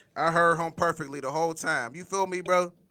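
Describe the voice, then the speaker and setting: A man speaks loudly at a fairly high pitch. His tone is bright and sharp. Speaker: podcast host. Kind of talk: casual interview.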